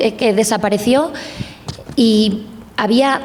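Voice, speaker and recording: A woman with a Spanish accent and a fairly high pitch, plus noticeable background noise. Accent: Spanish (Spain). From Spain. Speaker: journalist. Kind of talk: panel discussion.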